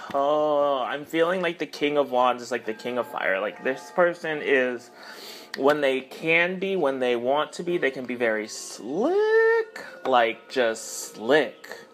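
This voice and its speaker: A man's fairly high voice at a very slow pace with ordinary pitch variation, over music in the background. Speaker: tarot reader. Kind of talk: tarot reading monologue. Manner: halting, many fillers.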